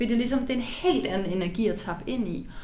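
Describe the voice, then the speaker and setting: This is a woman's voice. There is noticeable background noise and audible room echo. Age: 30s. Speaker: climate activist and author. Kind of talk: interview excerpts. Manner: halting.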